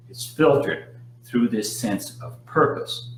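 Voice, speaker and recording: A man's fairly slow speech comes through with audible room echo and noticeable background noise. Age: 60s. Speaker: hypnotist. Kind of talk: live Q&A talk. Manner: frequent fillers and repetitions.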